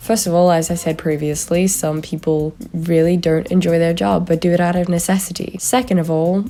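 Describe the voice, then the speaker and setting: Over noticeable background noise, a woman speaks at a moderate pace with a fairly low pitch and fairly even intonation. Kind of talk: casual commentary to camera. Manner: monotone.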